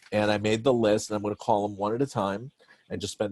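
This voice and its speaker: A man speaks at a very fast pace with a fairly low pitch. The recording is very clean with a silent background and a dry, close sound with no echo. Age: 60s. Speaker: Broadway director and producer. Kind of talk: casual interview conversation.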